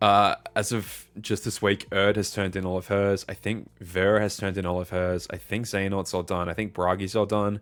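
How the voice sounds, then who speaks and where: Speaking with an Australian accent, a man talks at a fairly quick pace and fairly low pitch with hardly any pauses, in a very clean recording with a silent background. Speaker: streamer and fan dub editor. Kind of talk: casual live stream chat. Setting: live stream. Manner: animated.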